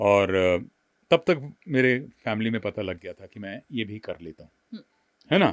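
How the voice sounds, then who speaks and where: A man with a plain, everyday voice at medium pitch speaks with lively intonation and big swings in loudness, in a dry, close sound with no echo. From Delhi, India. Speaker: voice-over artist and former news anchor. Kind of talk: interview answer.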